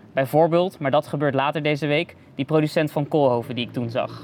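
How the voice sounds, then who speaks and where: A man with a plain, everyday voice speaks at a fairly high pitch. The intonation is fairly even. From Netherlands. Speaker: podcast host, film reporter. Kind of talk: casual interview. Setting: outdoor terrace at festival.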